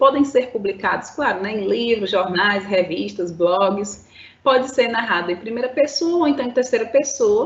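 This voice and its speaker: A woman's unremarkable speaking voice, fairly high in pitch, with lively intonation at a moderate pace. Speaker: school teacher. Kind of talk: lecture. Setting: live-streamed online class.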